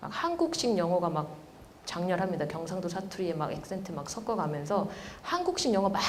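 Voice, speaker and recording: Room echo and noticeable background noise around a woman talking fairly quickly. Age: 40s. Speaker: professor. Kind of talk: lecture.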